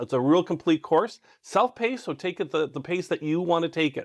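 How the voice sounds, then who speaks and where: Over a quiet background, a man with a high pitch speaks in an enthusiastic tone at a fairly quick pace, the sound dry and close with no echo. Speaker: online trading course instructor. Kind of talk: course lecture. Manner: fast.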